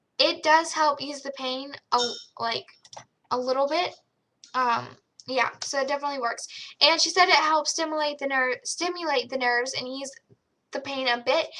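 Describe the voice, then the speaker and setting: A raised, projected voice holds fairly even intonation and takes long, frequent pauses. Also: woman, high pitch for a woman, moderate pace. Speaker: video blogger. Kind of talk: casual vlog tutorial. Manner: casual, filler-heavy.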